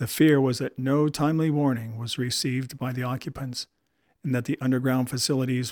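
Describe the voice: Plain reading aloud with fairly even intonation sits over a quiet background.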